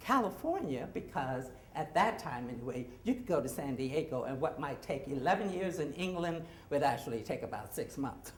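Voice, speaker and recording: Amid noticeable background noise and audible room echo, a woman speaks at a moderate pace with very wide pitch swings. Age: 60s. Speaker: actor and storyteller. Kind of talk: live storytelling. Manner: casual, halting with fillers.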